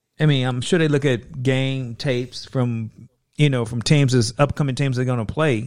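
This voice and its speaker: A man talks at a moderate pace with an unremarkable speaking voice, medium pitch and fairly even intonation. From Chicago. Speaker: sports fan guest. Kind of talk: casual chat.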